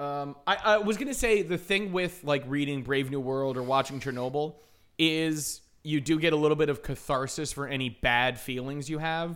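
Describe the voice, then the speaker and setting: At a moderate pace, a man speaks with fairly high pitch and ordinary pitch variation. He has an ordinary speaking voice. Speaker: podcast co-host. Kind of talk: casual chat. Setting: video call.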